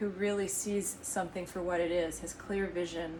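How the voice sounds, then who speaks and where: A woman's medium-pitched, monotone, flat delivery at a fairly slow pace, with audible room echo and noticeable background noise. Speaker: tarot reader and energy healer. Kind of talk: tarot reading. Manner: soft-spoken; halting.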